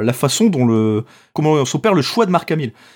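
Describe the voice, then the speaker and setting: On a very clean recording with a silent background, a man with a northern French accent speaks fairly slowly at a fairly high pitch, with very wide pitch swings. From northern France. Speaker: podcast host. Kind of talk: casual chat.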